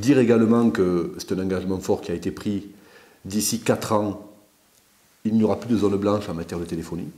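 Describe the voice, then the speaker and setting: With an Aveyron accent, a man talks at a fairly quick pace in a fairly low, dark, mellow voice with ordinary pitch variation and long, frequent pauses. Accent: southern French (Aveyron). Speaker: politician. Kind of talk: video Q&A address. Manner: hesitant, many fillers.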